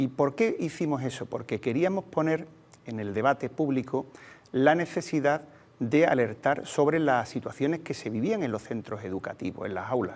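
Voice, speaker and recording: Lively intonation and a moderate pace mark this voice with an Andalusian accent. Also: man, fairly high pitch for a man. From Andalusia, Cádiz province (Sanlúcar de Barrameda). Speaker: teachers' union leader. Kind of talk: interview. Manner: hesitant, many fillers.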